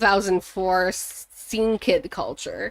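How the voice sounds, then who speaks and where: A woman speaking at a very slow pace. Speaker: gaming streamer. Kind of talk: live gameplay commentary. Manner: stumbles over words.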